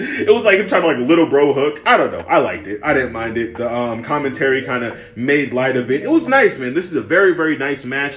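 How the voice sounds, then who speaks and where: Over noticeable background noise, a man speaks at a very fast pace and a fairly high pitch, with lively intonation and hardly any pauses. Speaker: wrestling reviewer. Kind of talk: casual review rant. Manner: low energy; casual, profane.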